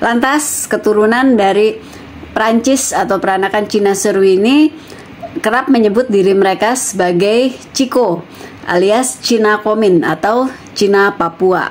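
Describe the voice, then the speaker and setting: A woman talks at a very even loudness. Noticeable background noise runs underneath. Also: fairly high pitch for a woman, ordinary pitch variation, fairly slow pace. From West Java (Sukabumi), Chinese-Indonesian. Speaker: YouTuber. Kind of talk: casual vlog storytelling. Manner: casual with fillers.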